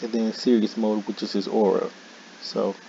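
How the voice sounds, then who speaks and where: A man's medium-pitched voice in a monotone, flat intonation, with noticeable background noise. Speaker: gaming YouTuber. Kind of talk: casual gaming commentary.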